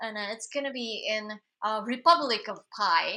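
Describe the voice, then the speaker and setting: A woman speaks very slowly with a Japanese accent. Her voice is fairly high, with a bright, sharp tone. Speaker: singer-songwriter. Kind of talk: casual live stream chat. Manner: halting, many fillers.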